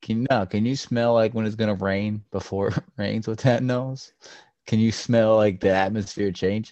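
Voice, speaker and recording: Using an ordinary speaking voice, a man talks at a moderate pace with a fairly low pitch. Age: 20s. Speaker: podcast co-host. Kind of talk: casual chat. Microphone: poor audio quality.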